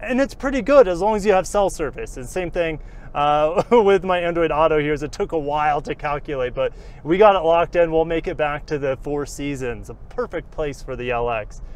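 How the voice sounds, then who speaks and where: A man talks at a fairly quick pace with lively intonation, and the sound is dry with no echo. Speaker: car reviewer. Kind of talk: casual vlog commentary while driving. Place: car.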